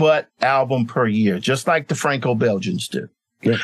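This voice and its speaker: An unremarkable speaking voice with an American accent, lively intonation and a moderate pace. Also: man. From US South, Mississippi (Clarksdale). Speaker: illustrator and graphic novelist. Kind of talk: interview.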